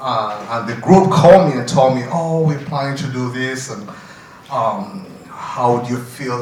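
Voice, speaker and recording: Amid noticeable background noise and audible room echo, a man talks at a moderate pace in a medium pitch with ordinary pitch variation. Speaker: parent advocate. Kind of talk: conference speech. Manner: loud.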